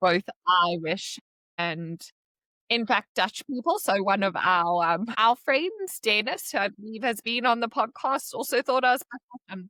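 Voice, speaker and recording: A woman's fairly high, bright and sharp voice with a South African accent, lively intonation, a fairly slow pace, and a dry, close sound with no echo. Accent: South African accent, still noticeable. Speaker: podcast guest, expat. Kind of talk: casual chat. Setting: call.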